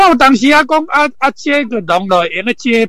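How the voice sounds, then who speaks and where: Raising and projecting his voice, a man speaks at an extremely high pitch with very wide pitch swings and a bright, sharp tone. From Taiwan, Hsinchu. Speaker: camper van conversion specialist. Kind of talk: casual interview. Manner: halting, many fillers.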